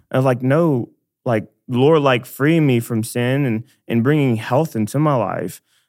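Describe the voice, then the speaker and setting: This man has a plain, everyday voice with an American accent, pitched in the medium range with ordinary variation. He speaks at a fairly slow pace on a very clean recording with a silent background. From Dallas, Texas. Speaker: church missions staff member. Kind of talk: casual faith conversation.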